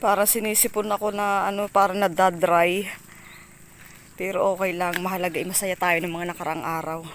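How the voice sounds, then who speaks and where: Over noticeable background noise, a woman at medium pitch talks at a fairly quick pace with fairly even intonation. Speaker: vlogger. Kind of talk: casual vlog narration. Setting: outdoors.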